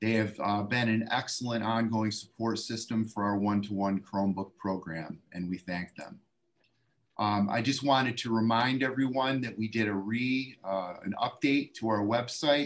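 A man talks, pace moderate and pitch varying in an ordinary way. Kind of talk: meeting report. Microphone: video call.

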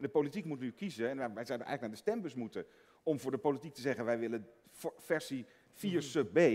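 A man talks at a very fast pace in a medium-pitched voice. His intonation is lively. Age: 50s. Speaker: economist; guest. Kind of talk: panel discussion. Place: hall. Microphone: headset.

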